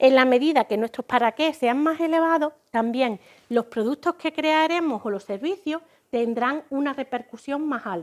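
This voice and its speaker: A woman's high voice in an Andalusian accent, at a moderate pace, with a dry, close sound and no echo. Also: very clean recording, silent background. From Andalusia, Spain. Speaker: business consultant. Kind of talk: lecture.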